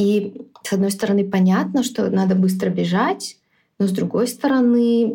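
With a dark, mellow tone and a somewhat breathy sound, a woman talks at a moderate pace and medium pitch with ordinary pitch variation. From Belarus, Minsk. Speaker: product manager and startup founder. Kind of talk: podcast interview. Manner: hesitant, with filler sounds.

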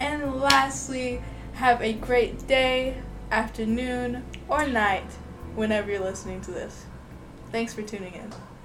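A woman with an American accent speaks at a fairly slow pace and a fairly high pitch, with ordinary pitch variation, big swings in loudness, long, frequent pauses and noticeable background noise. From Florida. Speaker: podcast host. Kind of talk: scripted outro; casual chat.

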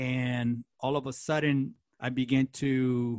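In a very clean recording with a silent background and a dry, close sound with no echo, a man of medium pitch speaks in a monotone, flat intonation with an American accent. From East Los Angeles, US. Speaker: TV host. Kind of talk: interview, personal testimony.

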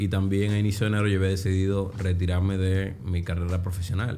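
A man with a fairly low voice talks at a moderate pace with fairly even intonation, and the room echo is audible. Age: 30s. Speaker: trader. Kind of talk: interview.

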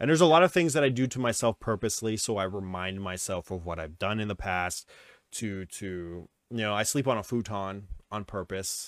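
An unremarkable speaking voice belongs to a man with a fairly low pitch and ordinary pitch variation. The sound is dry and close with no echo, on a very clean recording with a silent background. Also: fairly quick pace. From New Westminster, Canada. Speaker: podcast host, wrestling show promoter. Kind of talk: casual chat. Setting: livestream with live chat.

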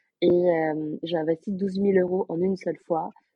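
Here a woman speaks in a fairly low voice. Her intonation is monotone and flat. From southern France, Aveyron. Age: 20s. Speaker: sales closer. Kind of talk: interview.

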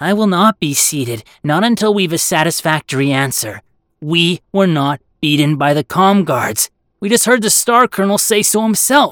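Middle-pitched, put-on character voice. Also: moderate pace. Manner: strident, accusing, outraged.

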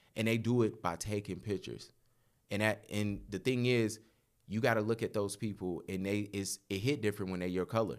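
This man has an ordinary speaking voice with a fairly low pitch. He talks at a fairly quick pace with fairly even intonation. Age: 30s. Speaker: photographer. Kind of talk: casual chat.

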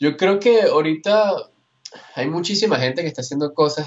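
A man is talking. He has a Caracas accent. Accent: Venezuelan Caracas Spanish. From Venezuela, Caracas. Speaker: illustrator and animator. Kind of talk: interview. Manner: halting, many repetitions.

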